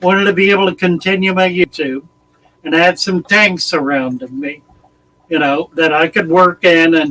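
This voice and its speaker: Recorded dry and close with no echo, a man with a high pitch talks at a moderate pace and with ordinary pitch variation. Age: 80s+. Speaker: aquarium hobbyist and YouTuber. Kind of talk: casual chat. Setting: live stream.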